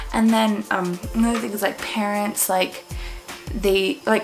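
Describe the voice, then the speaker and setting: A woman speaks at a medium pitch. The room echo is audible, and background noise is noticeable. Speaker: parenting vlogger. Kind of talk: casual vlog. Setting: at home late at night with toddler. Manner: casual, filler-heavy.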